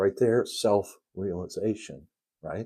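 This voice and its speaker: A man's medium-pitched voice with a dark, mellow tone and a Midwestern accent, on a very clean recording with a silent background. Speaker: spiritual teacher. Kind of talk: spiritual lesson livestream. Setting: live stream. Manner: halting.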